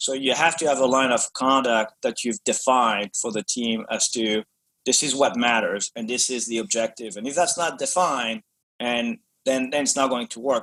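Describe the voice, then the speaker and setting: A man's medium-pitched voice, bright and sharp in tone, at a fairly quick pace with ordinary pitch variation and a dry, close sound free of echo. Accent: French. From France. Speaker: business executive. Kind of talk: podcast interview. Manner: hesitant, many fillers and repetitions.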